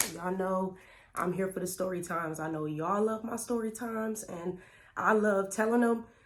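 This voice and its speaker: A woman with a medium pitch and an animated tone talks at a fairly quick pace with ordinary pitch variation. Audible room echo surrounds her voice. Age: 30s. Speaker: YouTuber. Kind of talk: storytime vlog.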